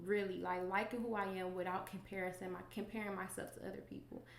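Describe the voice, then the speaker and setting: Audible room echo carries a voice moving at a fairly quick pace. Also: woman. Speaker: podcast host. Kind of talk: solo podcast monologue. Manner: fast.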